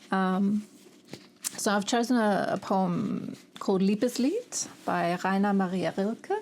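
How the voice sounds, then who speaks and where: A woman speaks at a very slow pace with a German accent, ordinary pitch variation, very even loudness, and long, frequent pauses. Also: medium pitch for a woman. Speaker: booktuber. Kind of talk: reading aloud; casual chat. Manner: halting.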